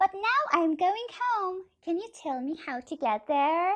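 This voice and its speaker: In a put-on character voice, a woman squeaks out her words at an extremely high pitch and a fairly slow pace. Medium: read story.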